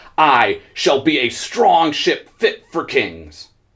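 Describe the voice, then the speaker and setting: A man puts on a character voice. He speaks very slowly. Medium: read story. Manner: proud, eager.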